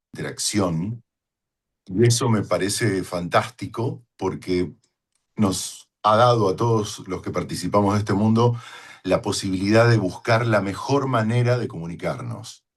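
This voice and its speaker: In an ordinary speaking voice, a man with a fairly low pitch talks at a fairly slow pace with fairly even intonation against a quiet background. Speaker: voice-over announcer. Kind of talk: talk to fellow voice professionals. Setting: home studio.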